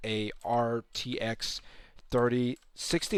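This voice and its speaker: This man talks at a medium pitch. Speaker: tech youtuber. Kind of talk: tutorial. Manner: fast; halting.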